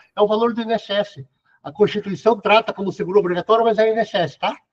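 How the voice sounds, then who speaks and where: A dry, close sound without echo, carrying ordinary pitch variation. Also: man. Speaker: lecturer on workplace accidents. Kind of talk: lecture Q&A. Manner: fast.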